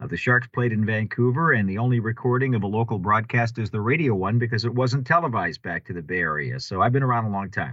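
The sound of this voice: Fast and with few pauses, a man talks at a fairly low pitch with ordinary pitch variation.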